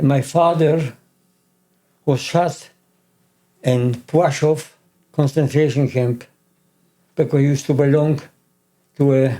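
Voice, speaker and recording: A man with a Polish accent speaks at a fairly slow pace with long, frequent pauses, his fairly high pitch held monotone and flat in a dark, mellow tone at very even loudness. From Poland, Krakow. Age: 80s+. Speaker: Holocaust survivor. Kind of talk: interview testimony.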